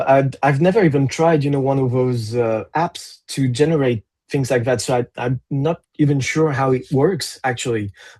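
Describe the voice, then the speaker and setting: A man with a French accent speaks at a moderate pace with hardly any pauses. His pitch is fairly high with ordinary variation, and the sound is dry and close with no echo. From France. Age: 40s. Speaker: metal musician. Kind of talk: interview. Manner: halting.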